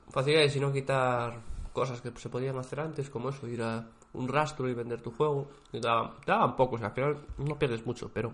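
Fairly quick, somewhat breathy speech from a man at a medium pitch with fairly even intonation. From Spain, Galicia (Vigo). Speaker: podcast co-host. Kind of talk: casual chat. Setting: co-host's home.

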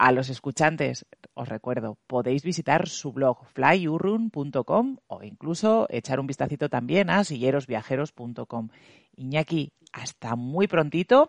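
A man with an unremarkable speaking voice talks fairly slowly with lively intonation and fairly high pitch, in a dry, close sound with no echo. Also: quiet background. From La Rioja, Spain. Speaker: podcast host. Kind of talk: interview.

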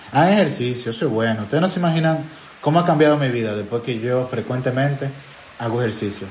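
Noticeable background noise and audible room echo fill the recording. Through them, a man rattles along at a very fast pace. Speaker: podcast host. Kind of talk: casual chat.

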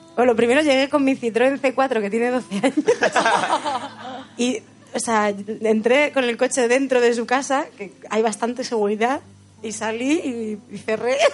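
Noticeable background noise accompanies a woman's voice. She speaks at a fairly slow pace in a high pitch. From Spain, Albacete, Sierra del Segura village. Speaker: singer. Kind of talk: casual chat. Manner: halting.

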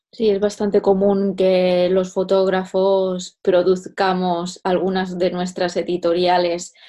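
Speaking very slowly in a Castilian accent, a woman uses a monotone, flat intonation at medium pitch, her tone dark and mellow. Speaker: podcast host and fashion photographer. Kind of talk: interview.

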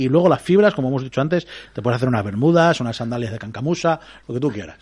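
The man's tone is animated. He talks at a very fast pace. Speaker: radio host. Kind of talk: casual chat.

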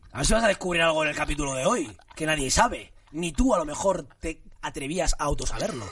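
In a normal speaking voice, a man talks fairly quickly with hardly any pauses. His pitch is fairly high, with lively intonation. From Barcelona area, Spain (Cornellà), Moroccan parents. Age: 30s. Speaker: actor. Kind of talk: casual chat.

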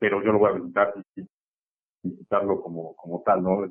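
A man's fairly low-pitched voice with monotone, flat intonation. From Mexico City. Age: 20s. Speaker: caller, systems engineer. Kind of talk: phone-in conversation. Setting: phone call. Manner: halting.

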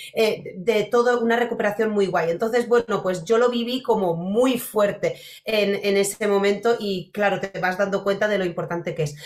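At a moderate pace and with hardly any pauses, a woman of medium pitch speaks with fairly even intonation. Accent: Polish. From Poland. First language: Polish (speaking Spanish). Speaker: podcast host, dog behaviour. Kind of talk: interview.

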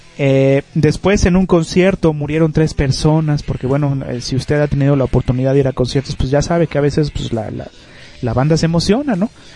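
A fairly high-pitched man with a Mexican accent, ordinary pitch variation and a fairly quick pace, over noticeable background noise. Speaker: internet radio host. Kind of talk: casual radio show.

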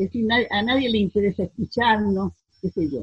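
Speaking at a fairly slow pace, a woman has a somewhat breathy voice. The sound is dry and close, with no echo. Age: 80s+. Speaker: amateur actress. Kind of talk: interview. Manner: halting.

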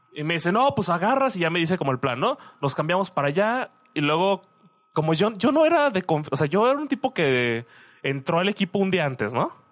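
A man's high-pitched voice takes very wide pitch swings at a fairly quick pace. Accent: Mexican. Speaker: podcast co-host, student. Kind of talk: casual chat.

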